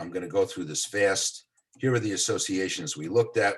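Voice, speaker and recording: A man with an American accent talks at a fairly quick pace. His voice is somewhat breathy and fairly low in pitch. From New York City, the Bronx. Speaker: psychology professor. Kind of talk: lecture. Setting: video call. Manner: fast.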